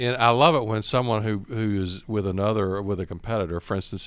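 A man's fairly low, lively voice with a Southern US accent, on a very clean recording with a silent background. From Georgia, US South. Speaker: bank executive. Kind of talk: business interview.

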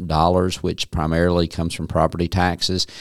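This man has a Southern US accent and a very deep, low pitch, delivered in a monotone, flat intonation. The sound is dry and close with no echo, in a very clean recording with a silent background. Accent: Southern US (Georgia). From North Georgia, Dawson County. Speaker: county manager. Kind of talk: interview. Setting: studio.

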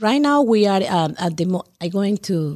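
A woman with a dark, mellow tone is heard on a very clean, dry, close recording with no echo and a silent background. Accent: Spanish. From Colombia. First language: Spanish. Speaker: cultural festival organizer. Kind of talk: casual chat. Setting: studio.

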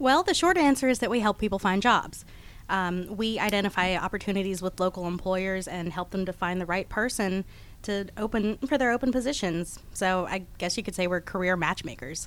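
An ordinary speaking voice from a woman with an American accent, at a fairly quick pace with ordinary pitch variation, in a very clean recording with a silent background. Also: medium pitch for a woman. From Texas and Georgia. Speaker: staffing branch manager. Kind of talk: radio interview. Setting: radio studio.

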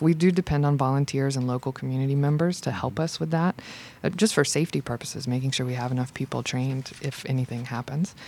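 At a fairly quick pace, a woman speaks with a very deep, low pitch and ordinary pitch variation. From US South, Georgia (Macon). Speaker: arts center coordinator. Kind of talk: radio interview. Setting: radio studio.

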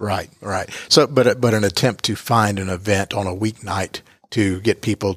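In an ordinary speaking voice with an American accent, a man talks at a moderate pace and fairly low pitch with fairly even intonation, the sound dry and close with no echo. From United States. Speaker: podcast moderator. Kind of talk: interview. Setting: studio.

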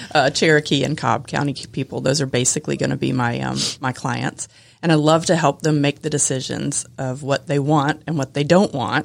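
Vocal fry colors a woman's very deep, low pitch. She keeps a moderate pace and fairly even intonation, with hardly any pauses. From Atlanta, Georgia. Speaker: Medicare and funeral pre-planning agent. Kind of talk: radio interview. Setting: studio.

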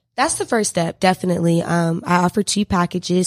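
The speech comes at a very fast pace. The sound is dry and close, with no echo. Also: woman. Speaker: student and PR firm founder. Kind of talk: interview. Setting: radio studio.

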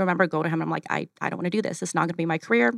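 On a very clean, dry, close recording with a silent background and no echo, a woman with a fairly low voice and vocal fry swings her pitch very widely. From Ukraine, moved to Arizona at 12. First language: Russian. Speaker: cleaning company executive. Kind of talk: radio interview. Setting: studio.

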